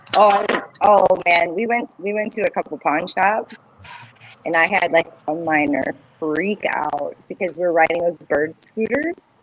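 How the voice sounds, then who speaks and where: Speaking at a fairly slow pace, a woman with a fairly low pitch is heard over noticeable background noise. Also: ordinary pitch variation. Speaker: podcast co-host. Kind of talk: casual chat. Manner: loud.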